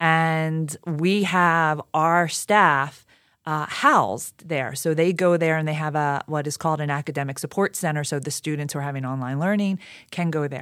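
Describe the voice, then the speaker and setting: A woman's very deep, low voice with a Philadelphia accent, fairly even intonation and moderate pace, in a very clean recording over a silent background. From Philadelphia, Pennsylvania. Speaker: education communications director. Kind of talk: interview conversation.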